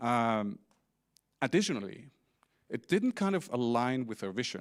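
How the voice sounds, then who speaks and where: Recorded very cleanly against a silent background, a man with an Icelandic accent speaks at a moderate pace in a medium pitch with lively intonation, the sound dry and close with no echo. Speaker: company CEO. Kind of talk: conference talk. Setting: stage with audience.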